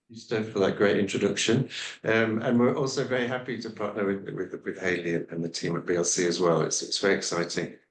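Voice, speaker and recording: At a very fast pace, a man with an English accent speaks at a fairly low pitch with ordinary pitch variation. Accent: British (English). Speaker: scientist. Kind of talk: podcast interview. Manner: halting, many fillers.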